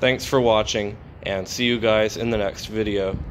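A man speaks at a moderate pace with fairly even intonation over light background noise. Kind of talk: casual vlog commentary. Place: garden. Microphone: phone near.

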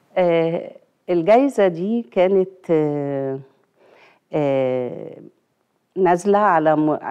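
Over a quiet background, a dark, mellow voice moves at a very slow pace with lively intonation and long, frequent pauses. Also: woman, fairly low pitch for a woman. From Egypt. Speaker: retired government official; guest. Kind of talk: TV interview. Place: studio. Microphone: lapel.

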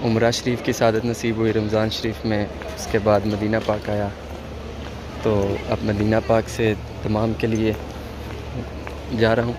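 Amid noticeable background noise, a man speaks at a fairly low pitch with monotone, flat intonation. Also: dry sound with no echo. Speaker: travel vlogger. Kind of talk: casual vlog chat. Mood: calm, pleased. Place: station. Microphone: phone near.

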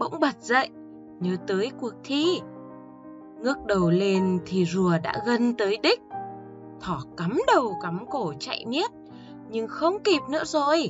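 Someone with a Northern Vietnamese accent talks at a very slow pace, leaving long, frequent pauses, with music playing in the background. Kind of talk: bedtime story narration for children.

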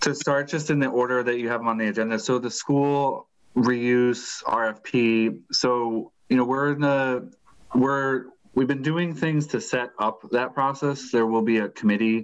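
Against a quiet background, a man talks at a fairly slow pace. His intonation is fairly even. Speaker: city staff member reporting. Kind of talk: meeting update report. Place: home room. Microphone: video call.

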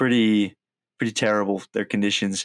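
A man with an American accent talks at a fairly quick pace. The very clean recording has a silent background and a dry, close sound with no echo. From US Midwest. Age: 20s. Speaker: college student. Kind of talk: interview.

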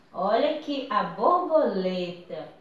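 A woman's voice amid light background noise and audible room echo. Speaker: teacher. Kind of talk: craft tutorial for children. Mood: warm, cheerful. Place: home room. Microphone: camera far.

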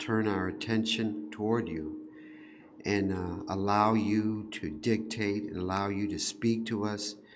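In a normal speaking voice, a man talks at a fairly slow pace and a fairly low pitch. His pitch varies in an ordinary way, with light background noise behind him. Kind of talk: prayer. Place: church. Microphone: podium.

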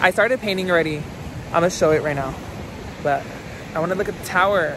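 At a very fast pace, a man speaks in a high voice with fairly even intonation, the sound dry with no echo and noticeable background noise behind him. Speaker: vlogger. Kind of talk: casual vlog chat. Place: beach. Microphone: phone near.

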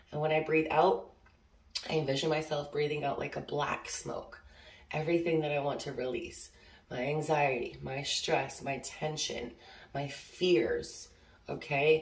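In a room with audible echo, a woman with a very deep, low pitch speaks in a monotone, flat way at a fairly slow pace, leaving long, frequent pauses. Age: 30s. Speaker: oracle card reader. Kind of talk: casual spiritual vlog; guided breathing. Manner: casual, filler-heavy. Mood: calm, warm, reassuring. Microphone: phone near.

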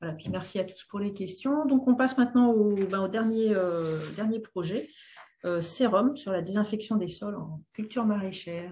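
At a moderate pace, a woman speaks in a dark, mellow, somewhat breathy tone with big swings in loudness over light background noise. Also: ordinary pitch variation. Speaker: webinar moderator. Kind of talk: moderating. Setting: video call. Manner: halting. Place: home room. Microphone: webcam.

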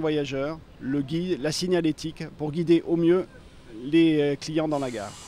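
Over light background noise, a man speaks at a fairly high pitch in a dry sound with no echo. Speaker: railway project manager interviewed. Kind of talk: explanatory interview soundbite. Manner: halting, hesitant, with repeats and fillers. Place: station. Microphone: handheld.

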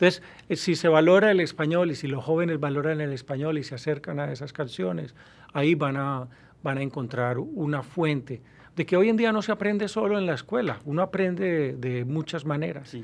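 Here a man speaks at a fairly quick pace. His voice is fairly high-pitched, with lively intonation. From Colombia, Medellín. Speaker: university professor. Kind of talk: interview. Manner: halting. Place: studio. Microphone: studio mic.

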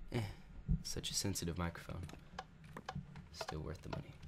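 A man's very deep, low voice, somewhat breathy, with ordinary pitch variation and audible room echo. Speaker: gaming YouTuber. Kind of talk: let's play commentary. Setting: home recording room. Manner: casual, rambling.

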